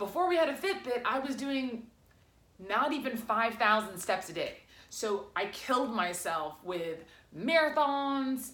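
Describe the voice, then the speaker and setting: A woman at a fairly high pitch with very wide pitch swings, speaking at a fairly slow pace. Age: 30s. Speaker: former accountant, wellness entrepreneur. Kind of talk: casual talk to camera.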